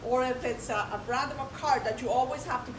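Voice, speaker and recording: A woman speaks loudly in a high voice. The room echoes audibly, and background noise is noticeable. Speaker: presenter. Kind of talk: interactive presentation.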